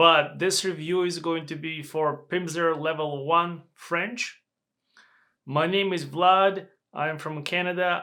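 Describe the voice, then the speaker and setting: In a very clean recording with a silent background, a man with a non-native accent speaks very slowly in a bright, sharp, high-pitched voice with monotone, flat intonation. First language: not English. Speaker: language learner and reviewer. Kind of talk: product review vlog. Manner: halting.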